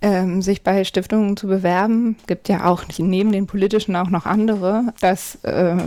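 In a very clean recording with a silent background, a woman with a dark, mellow tone talks at medium pitch and a moderate pace in a monotone, flat intonation. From Hamburg, northern Germany. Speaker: party manager, lawyer. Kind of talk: interview. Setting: home office.

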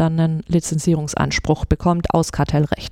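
A woman's fairly low voice with a dark, mellow tone, at a fairly quick pace. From Swabia, near Stuttgart, Germany. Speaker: patent lawyer, law firm partner. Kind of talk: interview.

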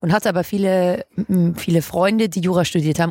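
This woman talks at a moderate pace with a medium pitch and a normal speaking voice. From Hamburg, northern Germany. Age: 20s. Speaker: legal tech entrepreneur. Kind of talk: interview.

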